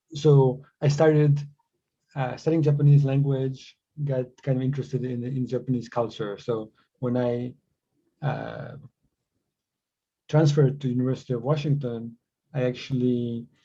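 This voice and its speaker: A man speaks at a moderate pace with a dark, mellow, somewhat breathy tone, medium pitch, monotone, flat intonation and long, frequent pauses. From Croatia / Bosnia (born in Sarajevo). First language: Croatian. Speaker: tech company co-founder. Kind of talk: podcast interview. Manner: halting, many repetitions and fillers.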